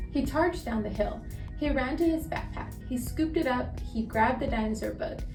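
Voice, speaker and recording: Music plays in the background. A woman speaks at a fairly quick pace. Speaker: storyteller. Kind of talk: children's read-aloud. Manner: calm, relaxed pace.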